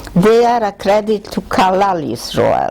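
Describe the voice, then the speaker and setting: A woman speaks at a fairly slow pace with ordinary pitch variation. Noticeable background noise is present. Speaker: Holocaust survivor. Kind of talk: reading aloud; testimony.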